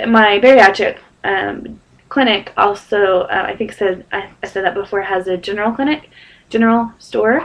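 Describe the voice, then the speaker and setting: Using a put-on character voice, a woman sounds raspy at a medium pitch. Her pace is moderate, with ordinary pitch variation. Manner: talking too fast.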